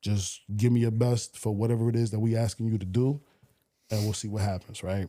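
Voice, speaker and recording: A man with a New York accent speaks at a moderate pace in a fairly low pitch, his dark, mellow tone held in monotone, flat intonation. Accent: New York (Bronx). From New York, the Bronx. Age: 40s. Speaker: radio DJ. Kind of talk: casual chat.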